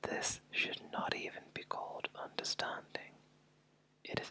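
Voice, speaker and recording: A man's very slow whispering over noticeable background noise. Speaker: ASMR artist. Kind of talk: ASMR whisper reading of a book chapter. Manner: whispered, soft, slow.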